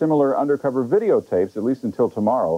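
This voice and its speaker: This man talks at a fairly quick pace. His tone is dark and mellow. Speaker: TV news reporter. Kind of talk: news report. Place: office.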